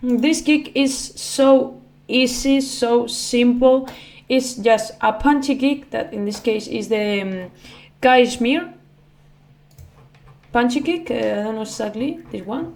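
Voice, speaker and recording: The speaker has a non-native accent and moves at a very slow pace with long, frequent pauses. Loudness swings widely throughout. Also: woman, high pitch for a woman, ordinary pitch variation. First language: not English. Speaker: music producer, YouTuber. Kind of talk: tutorial. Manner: halting, many fillers.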